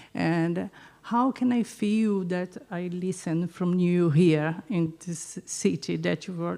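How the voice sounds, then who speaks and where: In a Portuguese accent, a woman speaks with a dark, mellow tone, a fairly low pitch and ordinary pitch variation. Her pace is very slow, on a very clean recording with a silent background. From Brazil. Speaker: audience member, art teacher. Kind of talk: audience question. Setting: event with live audience. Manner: halting.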